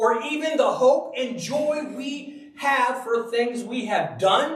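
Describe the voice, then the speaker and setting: In an animated tone, a man speaks loudly at an extremely high pitch with ordinary pitch variation and audible room echo. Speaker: Bible teacher. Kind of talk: sermon.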